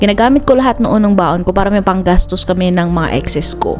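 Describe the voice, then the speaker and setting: Music plays in the background as a woman talks at a very fast pace. Her pitch is medium, with ordinary pitch variation. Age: 20s. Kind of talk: personal vlog narration.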